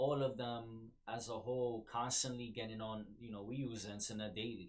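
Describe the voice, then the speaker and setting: A man speaks in a medium pitch. His intonation is monotone and flat. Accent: American. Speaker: podcast host. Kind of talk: casual commentary monologue. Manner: hesitant, many fillers.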